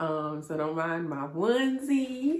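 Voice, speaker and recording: A woman speaks at a very slow pace. Her pitch swings very widely, with music in the background. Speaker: hair vlogger. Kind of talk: casual vlog update.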